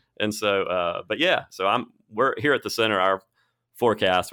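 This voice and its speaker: A man speaks with an Alabama accent in a bright, sharp tone. The recording is very clean, with a silent background. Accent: Southern US (Alabama). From Alabama, Birmingham. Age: 40s. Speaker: podcast host at a university real estate center. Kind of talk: casual interview. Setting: studio.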